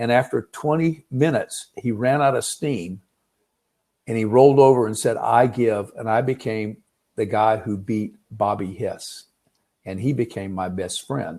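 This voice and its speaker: With an American accent, a man speaks fairly slowly in a dark, mellow tone with ordinary pitch variation. The recording is very clean and the background silent. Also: medium pitch for a man. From US South, Pensacola Florida. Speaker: startup mentor. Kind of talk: lecture. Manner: halting, many fillers.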